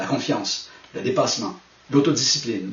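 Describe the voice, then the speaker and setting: There is noticeable background noise and audible room echo as a man talks at a medium pitch with lively intonation. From Quebec. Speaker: management consultant and speaker. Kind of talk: recorded talk to camera.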